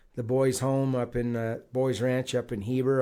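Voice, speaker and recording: A man speaks at a medium pitch and moderate pace in a flat monotone with a dark, mellow tone. The recording is very clean, with a silent background. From Utah. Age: 60s. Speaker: retired heavy equipment operator and council candidate. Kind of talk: casual interview.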